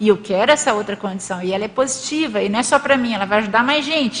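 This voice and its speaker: A woman talks fairly quickly over noticeable background noise. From Brazil, Minas Gerais. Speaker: lecturer presenting a paper. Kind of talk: lecture with group discussion. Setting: hall with live audience and online stream.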